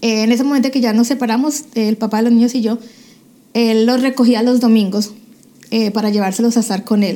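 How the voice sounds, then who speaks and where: A woman speaks at a fairly high pitch with a dark, mellow tone and monotone, flat intonation. Her pace is fairly quick, broken by long, frequent pauses. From Colombia, Cali. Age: 40s. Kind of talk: testimony.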